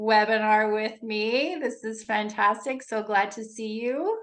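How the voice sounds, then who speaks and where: A woman talks at a very slow pace in a Canadian accent. Her pitch is fairly high. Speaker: leadership coach. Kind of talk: webinar presentation. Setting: video call. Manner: informal, upbeat.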